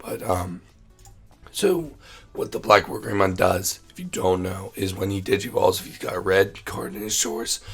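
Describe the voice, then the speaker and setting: Background music accompanies the speaker. He is a man talking at a moderate pace. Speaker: card game content creator. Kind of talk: tutorial. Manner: casual, many fillers.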